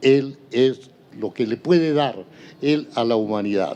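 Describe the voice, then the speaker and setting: Speaking at a very slow pace, a man with a medium pitch and a dark, mellow tone uses lively intonation. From Colombia, Santander. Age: 80s+. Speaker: retired linotype operator. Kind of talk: interview.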